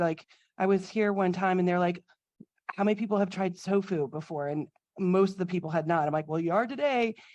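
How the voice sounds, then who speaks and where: Here a woman speaks in an American accent with a dark, mellow tone. Her pitch is medium, with ordinary variation. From Florida. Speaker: registered dietitian cooking instructor. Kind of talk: cooking demo casual talk.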